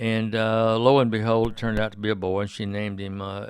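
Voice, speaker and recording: A man speaks with an Alabama accent. His pitch is fairly low. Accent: Southern US (Alabama). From US South. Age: 70s. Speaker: radio host. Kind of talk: casual interview. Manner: halting, many fillers.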